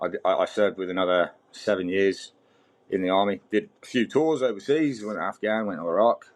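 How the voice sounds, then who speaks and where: A man speaks with a British accent. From Britain. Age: 40s. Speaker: mining fitter, army veteran. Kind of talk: podcast interview. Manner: halting, repeats words.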